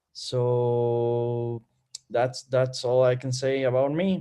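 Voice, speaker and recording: At a very slow pace, a man talks with a Spanish accent. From Bolivia. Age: 20s. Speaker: student. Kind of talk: casual chat. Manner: halting.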